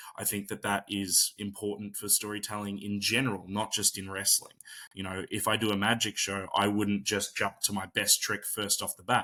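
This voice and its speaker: A man speaks in a fairly low pitch with a bright, sharp tone and monotone, flat intonation. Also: moderate pace, hardly any pauses. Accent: Australian. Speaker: pro wrestler and magician. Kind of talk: interview. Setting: video call. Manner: soft-spoken.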